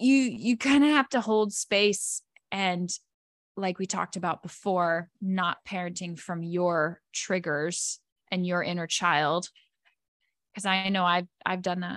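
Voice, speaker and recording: An ordinary speaking voice moves at a fairly slow pace with ordinary pitch variation. The sound is dry and close, with no echo. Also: woman, medium pitch for a woman. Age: 30s. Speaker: wellness coach. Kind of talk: casual chat.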